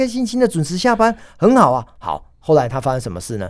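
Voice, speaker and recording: Very fast speech in a Taiwanese accent, with very wide pitch swings. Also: man. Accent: Taiwanese Mandarin. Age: 50s. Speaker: restaurant executive and author. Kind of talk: interview. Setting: studio. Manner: enthusiastic.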